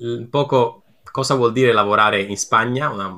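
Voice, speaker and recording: Bright and sharp, the tone shifts in pitch in a typical way. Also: man. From Italy, Naples. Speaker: game designer. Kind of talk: podcast interview. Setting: remote call.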